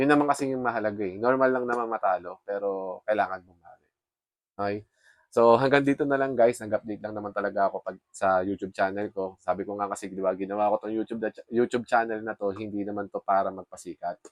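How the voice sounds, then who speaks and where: Speaking at a very fast pace, a man with a fairly low voice keeps a fairly even intonation while his loudness swings widely, the sound dry and close with no echo. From Philippines. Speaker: forex trader vlogger. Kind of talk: casual vlog update. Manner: halting.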